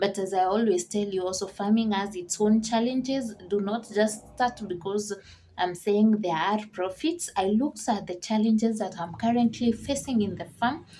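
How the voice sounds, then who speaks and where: This woman's voice has a dark, mellow tone, medium pitch and a somewhat breathy quality. She keeps a moderate pace with hardly any pauses and ordinary pitch variation. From Kenya. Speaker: vlogger and farmer. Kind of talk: casual vlog Q&A.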